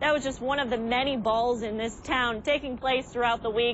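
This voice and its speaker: A woman with a high voice speaks at a moderate pace with ordinary pitch variation. The sound is dry with no echo, over light background noise. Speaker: TV news reporter. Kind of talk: TV news field report. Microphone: lapel.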